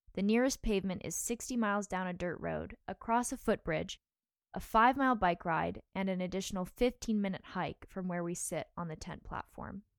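This woman has a normal speaking voice at a medium pitch. The sound is dry and close with no echo, on a very clean recording with a silent background. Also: ordinary pitch variation, fairly quick pace. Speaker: podcast co-host and producer. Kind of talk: scripted podcast narration.

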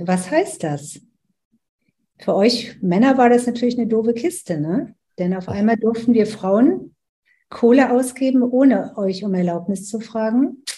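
Her voice is dark, mellow and somewhat breathy, fairly high in pitch for a woman, with lively intonation at a fairly slow pace. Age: 70s. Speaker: business coach. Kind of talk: interview.

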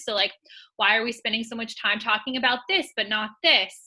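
Her tone is bright and sharp. The woman's pitch sits fairly high. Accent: American. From California. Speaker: podcast co-host and fitness coordinator. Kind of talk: casual interview chat.

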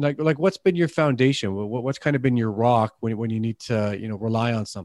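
This man has a slight Canadian accent. He talks at a very fast pace with hardly any pauses. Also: medium pitch for a man, ordinary pitch variation. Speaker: podcast host. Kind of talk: interview. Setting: remote recording. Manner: halting, repeats words.

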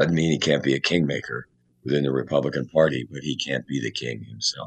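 Using vocal fry, a man talks very fast in a very deep, low pitch with fairly even intonation. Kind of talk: casual chat.

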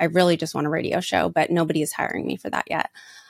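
A woman's fairly low, animated voice at a very fast pace, in a very clean recording with a silent background. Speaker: podcast host and network marketing entrepreneur. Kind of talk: solo monologue. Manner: loud.

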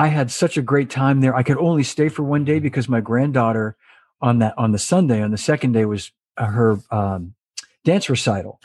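A man with an unremarkable speaking voice talks fairly quickly at a medium pitch with ordinary pitch variation. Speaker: drummer and show host. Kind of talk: casual interview chat. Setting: video call. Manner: jokey, friendly.

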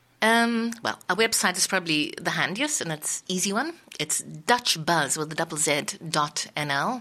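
A woman with a fairly low pitch speaks in a bright, sharp tone at a moderate pace. Her pitch swings very widely. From South Africa. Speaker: community radio presenter and editor. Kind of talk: interview. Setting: radio studio.

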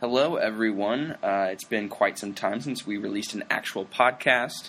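A man talks fairly slowly in a normal speaking voice. His pitch varies in an ordinary way. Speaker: podcast host. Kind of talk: casual interview chat.

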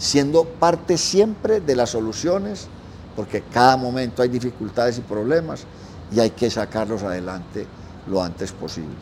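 Speaking at a fairly slow pace with lively intonation, this voice is heard over noticeable background noise. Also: man. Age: 70s. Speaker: restaurant manager. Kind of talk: interview. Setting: restaurant.

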